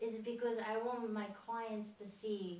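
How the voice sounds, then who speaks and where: A woman speaks at a fairly slow pace with a Japanese accent, her pitch fairly high. Noticeable background noise and audible room echo surround her voice. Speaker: fitness trainer. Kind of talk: motivational speech. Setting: stage with audience.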